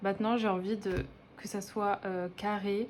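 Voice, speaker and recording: A woman of medium pitch is speaking. She talks at a fairly slow pace. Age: 20s. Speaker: budgeting vlogger. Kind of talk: casual vlog monologue. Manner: hesitant, many filler words.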